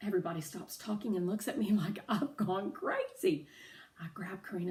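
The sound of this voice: The intonation moves in a lively way. It is an unforced reading voice.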